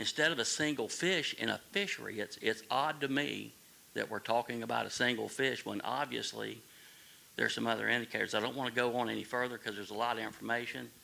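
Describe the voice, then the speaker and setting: A man with a Southern US accent, at a very fast pace. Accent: Southern US (Georgia). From coastal Georgia, US South. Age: 60s. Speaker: recreational fisherman at public meeting. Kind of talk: public comment at town hall. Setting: town hall meeting.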